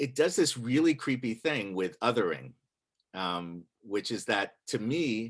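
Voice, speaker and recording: In a very clean recording with a silent background, a man speaks at a medium pitch and a fairly slow pace with lively intonation. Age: 60s. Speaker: monologist and writer. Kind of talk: talk to a congregation. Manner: halting, many fillers.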